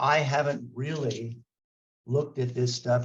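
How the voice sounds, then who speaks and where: At a fairly slow pace, a man speaks in a somewhat breathy, medium-pitched voice with monotone, flat intonation. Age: 60s. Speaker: martial arts scholar. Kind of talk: interview. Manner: halting, many fillers and restarts.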